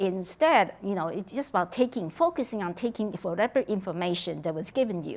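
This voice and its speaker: A woman with a Taiwanese accent speaks fairly quickly with lively intonation on a very clean recording with a silent background. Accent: Taiwanese Mandarin-accented English. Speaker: political science professor. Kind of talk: oral history interview. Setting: conference venue. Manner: halting.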